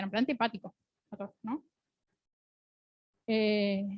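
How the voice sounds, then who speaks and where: A woman's voice, dry and close, with no echo. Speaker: pediatric oncologist lecturing residents. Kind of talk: lecture. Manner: fast.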